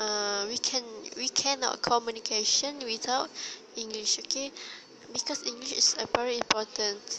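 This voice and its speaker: With a Malaysian accent, a woman talks at a moderate pace with a fairly high pitch and fairly even intonation. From Malaysia, Terengganu. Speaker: university student. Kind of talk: solo monologue podcast. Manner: halting.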